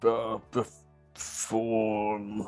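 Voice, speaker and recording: Faint music plays behind a put-on character voice. The voice is low-pitched with monotone, flat intonation. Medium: actual play. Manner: hesitant, polite.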